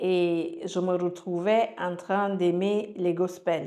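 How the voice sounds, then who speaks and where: A woman at medium pitch speaks at a very slow pace. Room echo is audible. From Cameroon, Yaoundé. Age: 40s. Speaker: life coach sharing her story. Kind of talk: testimony. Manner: halting.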